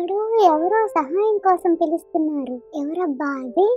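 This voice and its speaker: Over clear music in the background, a female-sounding cartoonish character voice talks at a fairly slow pace, its pitch extremely high. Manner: fast, excitable, repeats words.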